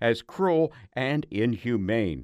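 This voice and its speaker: Lively intonation marks a man's medium-pitched voice, an ordinary speaking voice, in a very clean recording with a silent background. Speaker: public radio news host. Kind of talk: news reading. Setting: studio.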